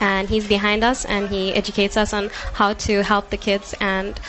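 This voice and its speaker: A woman speaks with monotone, flat intonation. Background noise is noticeable. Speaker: karate athlete and coach. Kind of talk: live interview.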